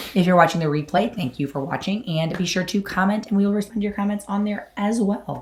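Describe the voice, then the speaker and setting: Very fast speech comes from a woman with ordinary pitch variation. Noticeable background noise sits behind her. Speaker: YouTube host. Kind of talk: live stream chat. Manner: hoarse and raspy.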